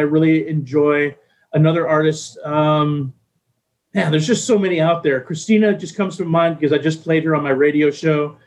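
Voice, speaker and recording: A man talks at a fairly quick pace and a fairly high pitch. His is an ordinary speaking voice. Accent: American. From Texas. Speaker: radio DJ. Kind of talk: casual interview.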